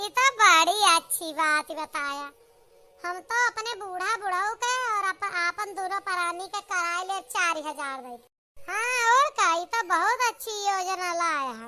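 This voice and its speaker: A cartoonish character voice swings widely in loudness and moves with lively intonation at a fairly slow pace. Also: woman, extremely high pitch for a woman. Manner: loud, blunt, rustic.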